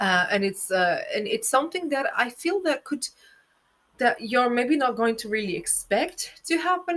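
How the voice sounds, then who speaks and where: A woman's high-pitched voice with very wide pitch swings and a non-native accent, at a moderate pace. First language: not English. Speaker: astrologer and tarot reader. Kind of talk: tarot reading monologue. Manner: spontaneous, halting with fillers.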